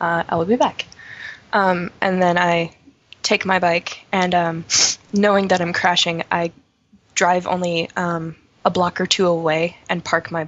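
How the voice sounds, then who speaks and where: A woman talks at a fairly slow pace. Her voice is fairly low in pitch. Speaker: tabletop game player. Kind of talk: casual game chat with in-character dialogue.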